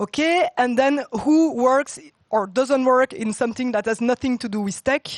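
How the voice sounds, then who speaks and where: A woman speaks loudly at a moderate pace, her pitch high. The background is quiet, and the sound is dry and close with no echo. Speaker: tech talk speaker, former consultant. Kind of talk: conference talk. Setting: stage with audience.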